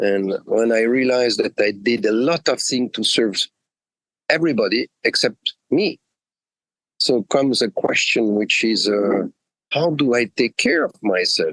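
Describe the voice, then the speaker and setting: A man speaks at a fairly slow pace with very even loudness. The sound is dry and close, with no echo. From Switzerland, French-speaking. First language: French. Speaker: executive coach. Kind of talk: interview. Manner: halting, many fillers.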